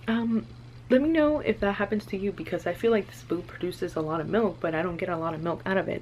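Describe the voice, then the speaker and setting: A woman speaks very fast with vocal fry. Her pitch swings very widely. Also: fairly low pitch for a woman. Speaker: vlogger, new mom. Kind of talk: casual vlog chat. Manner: conversational, many fillers.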